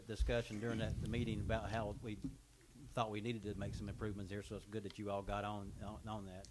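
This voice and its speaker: Room echo is audible as a man rushes through his words at a very fast pace. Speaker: mayor chairing town board meeting. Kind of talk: public meeting. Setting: town hall boardroom. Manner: loud.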